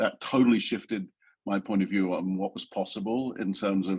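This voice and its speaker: With an English accent, a man talks in a monotone, flat intonation. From rural England. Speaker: design executive. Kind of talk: interview. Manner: halting, many fillers.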